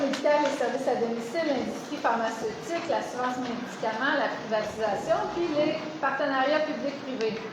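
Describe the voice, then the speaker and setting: Loud and at a moderate pace, a woman with a high pitch uses ordinary pitch variation amid noticeable background noise and audible room echo. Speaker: event moderator. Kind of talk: event introduction. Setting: conference room without microphone.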